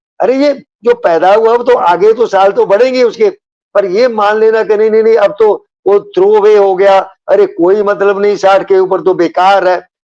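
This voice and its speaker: With hardly any pauses, a man speaks in a high, dark, mellow voice at very even loudness and with fairly even intonation. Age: 80s+. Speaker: retired police officer. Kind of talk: interview.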